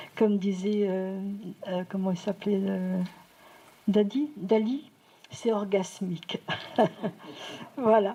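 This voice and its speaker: A woman at a medium pitch and a very slow pace, with fairly even intonation and long, frequent pauses. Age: 60s. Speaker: audience member, retired medical secretary. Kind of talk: audience contribution in public discussion. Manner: halting.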